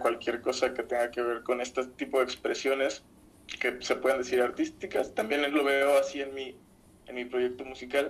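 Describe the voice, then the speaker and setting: This man speaks in a Mexican accent at a moderate pace. His pitch sits in the medium range. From Mexico, Zamora (Michoacán). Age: 20s. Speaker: musician and podcaster. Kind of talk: casual chat.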